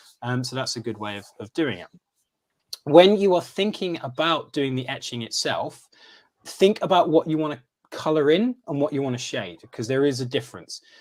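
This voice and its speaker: Here a man speaks with a fairly high pitch. His intonation is lively. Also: big swings in loudness. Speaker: craft demonstrator. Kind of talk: live-streamed craft demonstration. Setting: live stream. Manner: fast.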